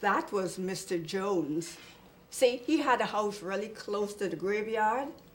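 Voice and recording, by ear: Someone reads aloud in a natural voice.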